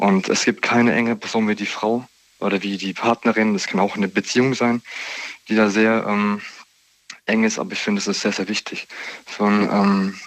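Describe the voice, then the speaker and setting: A man at a fairly low pitch and moderate pace, with monotone, flat intonation and long, frequent pauses. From Heidelberg, Baden-Württemberg. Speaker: radio caller. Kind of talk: phone-in discussion.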